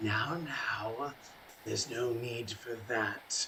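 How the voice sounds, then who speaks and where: Using a put-on character voice, a man sounds raspy at a medium pitch and a very slow pace, with clear background noise. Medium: actual play. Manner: smooth, condescending, coldly courteous.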